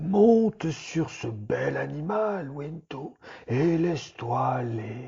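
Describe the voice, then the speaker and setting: A man puts on a character voice with a fairly high pitch. He goes at a very slow pace with very wide pitch swings. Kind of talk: bedtime relaxation story. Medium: read story. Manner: slow, soothing, meditative.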